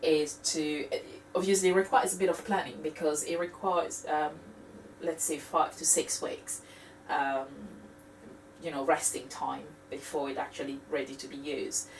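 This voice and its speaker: Fairly slow, fairly low-pitched speech from a woman, ordinary in pitch variation, set against noticeable background noise. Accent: French. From France. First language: French. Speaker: cooking video host. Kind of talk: tutorial. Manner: halting, many fillers.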